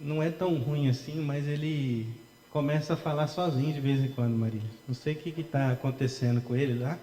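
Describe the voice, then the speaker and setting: Soft-spoken, a man talks at a moderate pace in a fairly high pitch with fairly even intonation. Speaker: pastor. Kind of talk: sermon. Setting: church.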